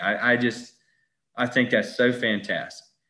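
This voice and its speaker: A moderate pace in a Southern US accent. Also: man. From Southern US small town. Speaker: golf author. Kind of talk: casual interview. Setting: video call.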